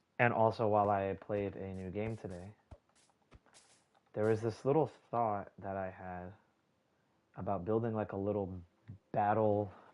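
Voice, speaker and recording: A soft-spoken man with a fairly low pitch talks with long, frequent pauses. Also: moderate pace. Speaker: gaming streamer. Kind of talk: live gameplay commentary. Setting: live stream. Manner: casual, filler-heavy.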